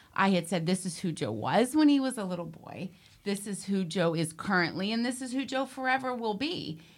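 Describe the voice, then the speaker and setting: A woman with an American accent and a plain, everyday voice, medium-pitched, with lively intonation and a fairly quick pace, on a very clean recording against a silent background. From Western Pennsylvania. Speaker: deacon's wife. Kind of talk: casual interview chat.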